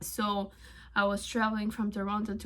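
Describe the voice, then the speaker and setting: A woman speaks at a moderate pace in a medium pitch. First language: not English (English is third language). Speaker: tarot video creator. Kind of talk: casual vlog talk. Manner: hesitant, with fillers.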